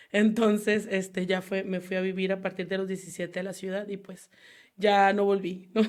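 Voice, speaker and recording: On a very clean recording with a silent background, a woman speaks in a monotone, flat intonation. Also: medium pitch for a woman, moderate pace. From Mexico, Baja California (Mexicali valley). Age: 30s. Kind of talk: casual interview. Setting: studio.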